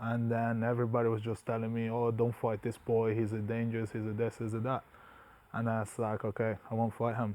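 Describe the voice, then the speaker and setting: This man talks fairly quickly at a medium pitch, in a dark, mellow tone. His intonation is flat and monotone. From Brazil. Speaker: mixed martial artist. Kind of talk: interview.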